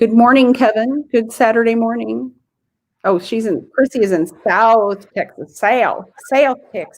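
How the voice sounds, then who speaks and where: With a Midwestern US accent, a woman speaks at a fairly high pitch and a fairly slow pace. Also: ordinary pitch variation. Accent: US Midwest. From US Midwest, Illinois. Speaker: genealogy livestream host. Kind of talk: casual chat.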